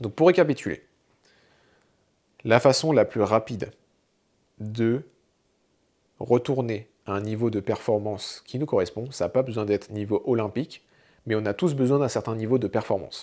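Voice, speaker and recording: On a very clean recording with a silent background, a man with a dark, mellow tone and medium pitch talks at a moderate pace, with ordinary pitch variation and long, frequent pauses. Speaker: fitness coach. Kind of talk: tutorial.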